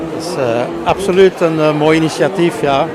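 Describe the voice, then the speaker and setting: Fairly even intonation carries through audible room echo, with crowd noise in the background. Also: man. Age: 60s. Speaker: singer-songwriter. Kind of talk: interview. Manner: halting.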